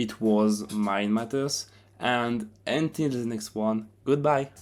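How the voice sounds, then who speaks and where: A man with a French accent speaks very slowly at a medium pitch with ordinary pitch variation. The recording is very clean, with a silent background. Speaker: self-help video narrator. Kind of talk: narrated explainer video; channel outro.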